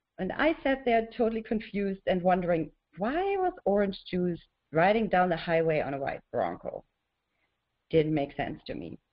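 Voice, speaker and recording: A woman with a German accent speaks at a medium pitch, her intonation lively. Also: moderate pace. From Germany. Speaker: author and horse mindfulness teacher. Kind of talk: webinar presentation. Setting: webinar.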